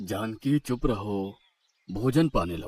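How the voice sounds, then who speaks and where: A man's cartoonish character voice at a medium pitch. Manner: calm, serene.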